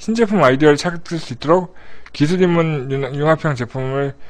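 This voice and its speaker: Speaking at a fairly slow pace, a man uses a fairly high voice with ordinary pitch variation. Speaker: live streamer host. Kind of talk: live stream news briefing, casual chat. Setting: live online broadcast. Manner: animated, chatty.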